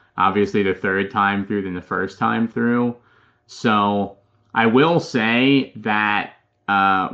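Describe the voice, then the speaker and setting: A man with an American accent talks at a fairly slow pace in an unremarkable speaking voice. His pitch varies in an ordinary way. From Philadelphia, Pennsylvania. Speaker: real estate investor. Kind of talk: podcast interview.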